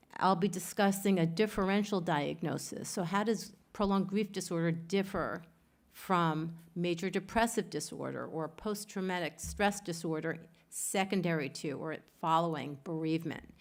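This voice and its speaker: A woman's fairly low voice with fairly even intonation at a moderate pace, in a very clean recording with a silent background. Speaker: grief researcher. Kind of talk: lecture. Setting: conference with audience.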